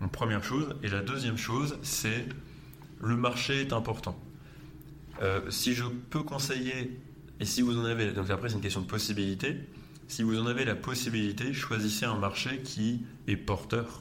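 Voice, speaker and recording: In a room with audible echo, a man speaks with very even loudness and fairly even intonation, leaving long, frequent pauses. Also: medium pitch for a man, moderate pace. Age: 20s. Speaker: entrepreneur. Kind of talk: interview.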